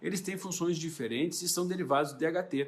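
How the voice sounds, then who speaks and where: A man is speaking. His pitch is high. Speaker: doctor. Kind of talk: educational talk. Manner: fast.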